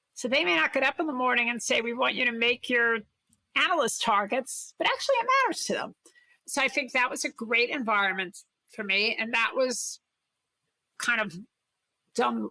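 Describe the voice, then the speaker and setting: In a Brooklyn accent, a high-pitched woman speaks at a moderate pace with ordinary pitch variation and long, frequent pauses, the sound dry and close with no echo. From Brooklyn, New York City. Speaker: corporate innovation executive and investor. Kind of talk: interview conversation.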